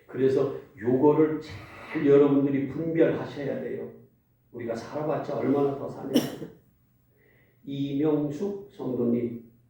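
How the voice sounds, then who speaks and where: Amid audible room echo, a man with a fairly high pitch speaks at a very slow pace with long, frequent pauses, fairly even intonation, and big swings in loudness. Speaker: pastor. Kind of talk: sermon. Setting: church. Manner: interactive, questioning congregation.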